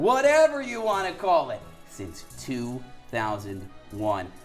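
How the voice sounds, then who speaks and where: An energetic man with an American accent, a fairly slow pace and very wide pitch swings, music in the background. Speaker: TV sports reporter and anchor. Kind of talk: sports anchor block, conversational banter with co-anchor. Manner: conversational, energetic.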